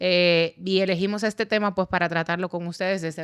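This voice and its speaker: A woman's fairly low voice, with ordinary pitch variation, comes at a moderate pace on a very clean recording with a silent background. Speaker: lawyer and podcast host. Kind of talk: podcast interview. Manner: relaxed, informal.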